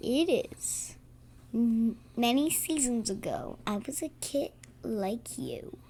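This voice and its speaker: A female-sounding voice puts on a high-pitched character voice at a very slow pace. Background noise is clear. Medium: audio drama. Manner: warm, gentle.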